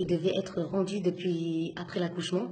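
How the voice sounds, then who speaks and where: A woman speaks very slowly in a monotone, flat delivery, somewhat breathy, with a dark, mellow tone and fairly low pitch. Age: 20s. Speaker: single mother. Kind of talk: testimony. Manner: halting.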